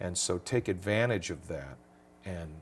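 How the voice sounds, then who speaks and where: With an American accent, a man talks at a moderate pace in a very deep, low pitch, somewhat breathy, with ordinary pitch variation. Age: 60s. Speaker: singer and entertainer. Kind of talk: interview. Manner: animated.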